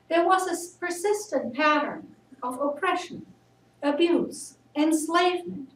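Spoken at a very slow pace with ordinary pitch variation, the voice carries audible room echo over light background noise. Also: woman. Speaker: speaker. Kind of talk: sermon. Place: church. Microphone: camera far.

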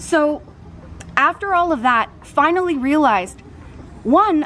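Lively intonation moves through speech delivered at a fairly slow pace over light background noise. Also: woman. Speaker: fitness vlogger. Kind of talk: casual vlog chat. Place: garden. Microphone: phone near.

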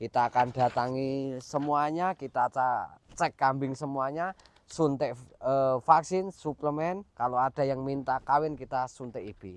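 A man's fairly slow speech with ordinary pitch variation, in a dry sound with no echo. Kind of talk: casual vlog chat. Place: farm machine. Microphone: lapel.

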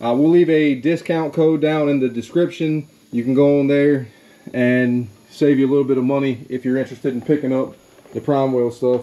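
Speaking at a fairly quick pace, a man keeps his intonation fairly even. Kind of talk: casual tutorial vlog. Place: garage. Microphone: phone near.

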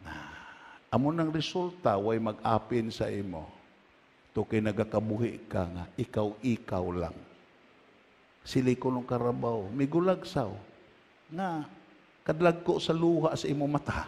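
This man talks at a fairly slow pace in a medium pitch, with very wide pitch swings, an animated tone and long, frequent pauses. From Philippines. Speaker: preacher. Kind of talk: sermon. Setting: church. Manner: animated, exhorting the congregation with calls to say amen; loud, emphatic, switching between Filipino dialect and English. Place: church.

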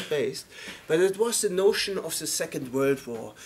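The speaker is a man. There is light noise in the background. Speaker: lecturer. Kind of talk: lecture. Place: classroom. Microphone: camera far.

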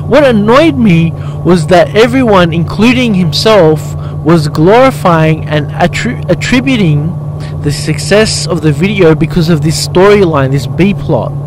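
A man speaks at a fairly slow pace. The sound is dry with no echo, and background noise is noticeable. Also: ordinary pitch variation. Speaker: motorbike vlogger, life coach. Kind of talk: casual vlog commentary. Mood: mildly critical, reflective. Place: motorbike.

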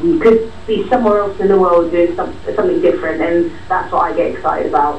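A woman talking very fast, with audible room echo and light background noise. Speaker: actress. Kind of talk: casual interview. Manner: chatty, hesitant. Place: studio.

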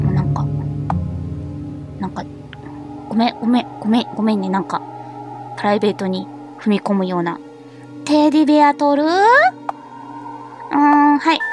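Fairly slow speech in a Tosa accent, with very wide pitch swings and noticeable background noise. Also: dry sound with no echo. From Kochi, Japan. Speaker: VTuber. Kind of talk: horror game let's play. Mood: cheerful, playful, apologetic.

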